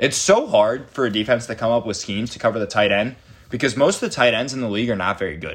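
A man with an unremarkable speaking voice talks at medium pitch. His pitch varies normally over a quiet background. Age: 20s. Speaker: podcast co-host. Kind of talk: casual chat.

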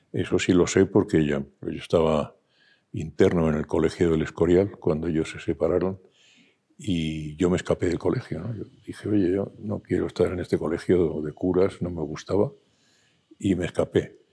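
At a moderate pace, a man speaks with a very deep, low pitch, fairly even intonation and a dark, mellow tone. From Spain, Madrid. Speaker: gallery owner and publisher. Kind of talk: interview.

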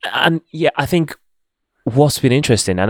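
A man speaks at a fairly quick pace with a non-native accent. The recording is very clean and dry, close and echo-free, over a silent background. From born outside the UK. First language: not English. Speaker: podcast host. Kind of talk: casual interview chat.

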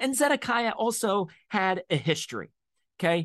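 Over a quiet background, a man speaks in a high pitch. His pitch swings very widely. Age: 40s. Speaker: podcast host and Bible teacher. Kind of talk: sermon-style podcast teaching.

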